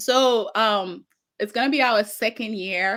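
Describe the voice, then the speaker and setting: A woman with a Haitian accent speaks at a fairly slow pace, her medium-pitched voice showing ordinary pitch variation. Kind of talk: interview.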